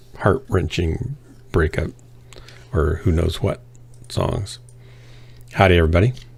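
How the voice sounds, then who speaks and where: A man with a very deep, low pitch and a somewhat breathy voice speaks at a fairly slow pace, using lively intonation and long, frequent pauses. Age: 60s. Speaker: gaming livestreamer. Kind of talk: casual chat.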